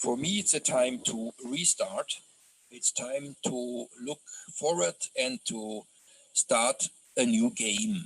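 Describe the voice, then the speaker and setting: A man with a German accent speaks very slowly, with long, frequent pauses and very wide pitch swings around a medium pitch. The sound is dry and close, with no echo. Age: 60s. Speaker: journalist. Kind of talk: online lecture. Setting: video call. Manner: hesitant, many fillers.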